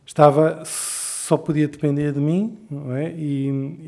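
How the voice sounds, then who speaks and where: The man's voice sits fairly high in pitch, with a dark, mellow tone. His intonation stays fairly even. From Portugal, Lisbon. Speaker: writer. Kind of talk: interview conversation. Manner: halting, with many repetitions.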